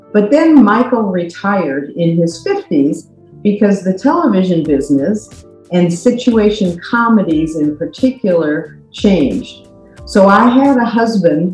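Faint music plays behind a woman speaking at a fairly slow pace. The room echo is audible. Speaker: podcast guest. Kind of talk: personal storytelling. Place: home room. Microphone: webcam.

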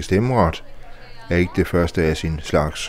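A man is speaking. His pitch is very deep and low. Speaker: reporter. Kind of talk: scripted narration.

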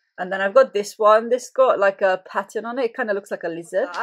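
The background stays quiet. Over it, a woman talks. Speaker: fitness vlogger. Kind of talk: casual vlog chat. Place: home room. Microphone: webcam.

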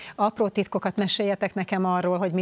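A woman speaks at a moderate pace in a fairly low, monotone voice with flat intonation. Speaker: sports interviewer. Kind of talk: interview. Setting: studio. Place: studio. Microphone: lapel.

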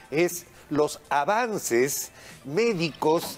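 Faint music sits in the background behind a man's voice. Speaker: TV show host. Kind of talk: TV program introduction. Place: studio.

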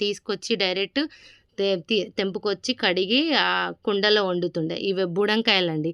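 In a quiet background, a woman with a bright, sharp tone speaks at a medium pitch with ordinary variation, the sound dry and close with no echo. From Telangana, Jangaon district. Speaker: vlogger. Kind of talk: casual vlog walkthrough.

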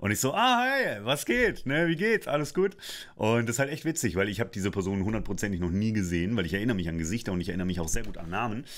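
A man with a fairly low pitch speaks very fast, his tone animated and his intonation lively. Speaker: voice actor and coach; coach. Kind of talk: casual vlog monologue. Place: studio. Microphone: studio mic.

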